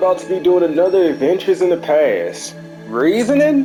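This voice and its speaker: Over music in the background, a man speaks in a high pitch with very wide pitch swings. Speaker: gaming commentator. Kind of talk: gameplay commentary.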